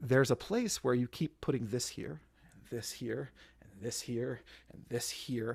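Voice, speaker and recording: A man with vocal fry at a fairly slow pace, his loudness swinging widely, on a very clean recording with a silent background. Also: medium pitch for a man, ordinary pitch variation. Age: 30s. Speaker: lay speaker at worship service. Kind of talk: sermon.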